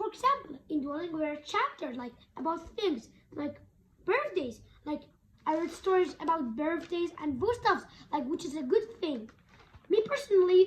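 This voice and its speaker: A woman at an extremely high pitch with very wide pitch swings, big swings in loudness, moderate pace and long, frequent pauses. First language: Kurdish. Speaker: language learning vlogger. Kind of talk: tutorial. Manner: halting.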